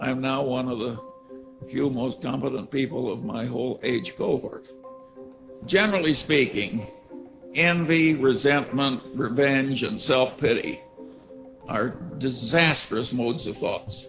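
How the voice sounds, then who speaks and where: Over music in the background, a voice in an American accent moves at a fairly slow pace with long, frequent pauses and ordinary pitch variation. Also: man, medium pitch for a man. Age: 80s+. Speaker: investor. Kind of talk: commencement speech.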